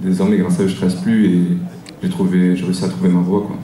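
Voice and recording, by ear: A man speaks fast with a low pitch in a dark, mellow tone. His voice shows little pitch movement, and there is audible room echo.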